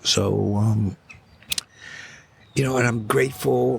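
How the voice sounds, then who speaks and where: A fairly low-pitched man's voice, lively in intonation and fairly slow, amid noticeable background noise. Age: 70s. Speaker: recovering alcoholic sharing his story. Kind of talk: casual interview chat. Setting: outdoors in a park.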